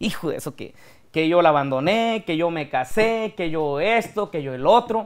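A man's high-pitched voice at a moderate pace, lively in intonation, against a quiet background. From Mexico, Michoacán (Apatzingán, rural); Michoacán, Mexico. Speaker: regional Mexican singer; interview guest. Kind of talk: interview. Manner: casual, colloquial. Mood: defensive, earnest about criticism. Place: studio. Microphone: lapel.

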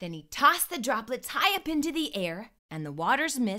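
The text is read in an unforced voice.

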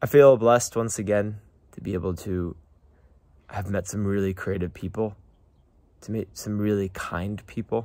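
A man with a fairly low pitch and a dark, mellow, calm tone speaks at a moderate pace with fairly even intonation and long, frequent pauses, in a dry sound with no echo. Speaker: vlogger working abroad in Uzbekistan. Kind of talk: personal video diary. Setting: outdoors by a garden. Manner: calm, reflective. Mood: reflective, grateful. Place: street. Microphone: phone near.

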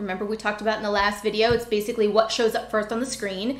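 A woman with an American accent, fairly high-pitched and very fast, with audible room echo. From US, Pennsylvania. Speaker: information architecture educator. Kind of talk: tutorial. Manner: thinking aloud while demonstrating. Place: home room. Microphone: webcam.

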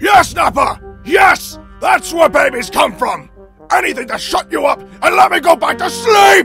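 A man shouting in a cartoonish character voice at a moderate pace, with faint music in the background. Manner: exasperated, sarcastic, shouting.

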